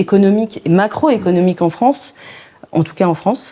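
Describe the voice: A woman's dark, mellow voice at a medium pitch, with ordinary pitch variation and a moderate pace.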